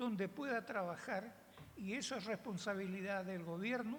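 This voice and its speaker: Audible room echo surrounds a woman speaking at a fairly slow pace. Her pitch is medium, with ordinary pitch variation. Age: 80s+. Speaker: veteran dance teacher. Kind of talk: panel talk.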